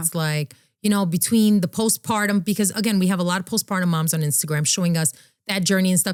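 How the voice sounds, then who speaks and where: A woman with a fairly low voice speaks very fast, with ordinary pitch variation. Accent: New York. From New York City, the Bronx. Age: 30s. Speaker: fashion influencer and content creator. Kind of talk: podcast interview answer.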